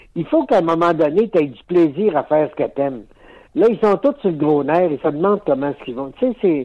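A high-pitched man at a fairly quick pace, with lively intonation and big swings in loudness. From Quebec, Lac-Saint-Jean. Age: 70s. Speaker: actor. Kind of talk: interview.

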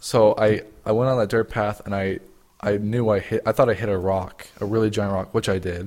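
A man with an American accent speaks at a fairly quick pace in a fairly low pitch, his intonation flat and monotone. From Utah. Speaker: podcast co-host. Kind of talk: casual chat.

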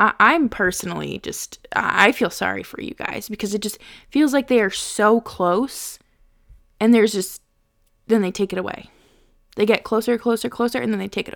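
A woman's fairly high-pitched voice with vocal fry and big swings in loudness, in a very clean recording against a silent background. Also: ordinary pitch variation, moderate pace. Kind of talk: pep talk. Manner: exasperated and insistent, half-joking, pleading with the team.

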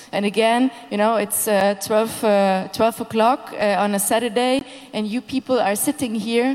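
A woman at a moderate pace with fairly even intonation, amid noticeable background noise. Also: fairly high pitch for a woman. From Hungary. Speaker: festival director. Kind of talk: panel discussion. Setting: festival stage with audience.

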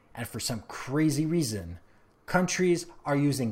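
On a very clean recording with a silent background, a man with a Canadian accent speaks at a fairly slow pace, somewhat breathy, with lively intonation. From Canada. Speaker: tech podcaster. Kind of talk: opinion monologue.

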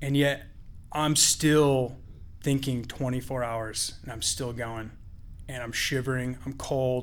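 Audible room echo surrounds a man speaking at a very slow pace. His voice is medium in pitch, with monotone, flat intonation. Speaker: storyteller. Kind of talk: live storytelling. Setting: stage with audience.

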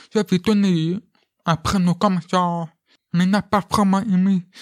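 A high-pitched man's voice in a flat monotone. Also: dry, close sound with no echo. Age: 20s. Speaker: deaf actor and film student. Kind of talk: interview testimony. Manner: halting.

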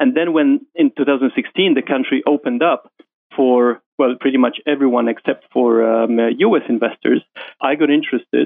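A man speaks with a Polish accent. His loudness stays very even. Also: moderate pace. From Poland. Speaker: investment fund manager. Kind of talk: interview.

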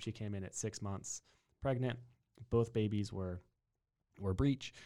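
The recording is very clean, with a silent background. A man with a Texan accent and a fairly low pitch talks at a fairly quick pace with ordinary pitch variation. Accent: Texan American. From Texas (New Braunfels). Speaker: chiropractor. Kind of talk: interview.

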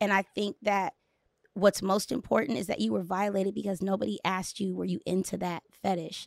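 Vocal fry from a woman at a medium pitch and fairly quick pace, dry and close with no echo. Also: very clean recording, silent background. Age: 40s. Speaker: motivational speaker and performance coach. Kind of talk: casual chat. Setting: studio. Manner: candid.

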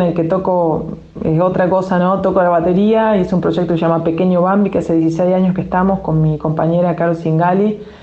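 Audible room echo surrounds a woman's voice. She speaks at a medium pitch and a moderate pace. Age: 50s. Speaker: musician and filmmaker. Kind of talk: interview.

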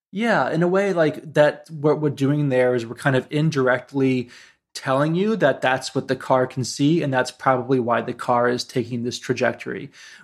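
Man at medium pitch and moderate pace, with ordinary pitch variation, in a very clean recording against a silent background. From US Midwest, Ohio. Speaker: tech design executive. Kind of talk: interview. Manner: hesitant, many fillers.

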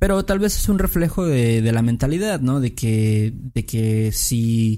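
Very slow speech in a Mexican accent carries a dark, mellow tone and lively intonation. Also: man. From Mexico. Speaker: podcast host. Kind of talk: casual chat.

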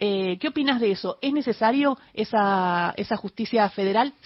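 Somewhat breathy woman's voice with ordinary pitch variation. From Argentina, Patagonia. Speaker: radio host. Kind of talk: radio interview. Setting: studio.

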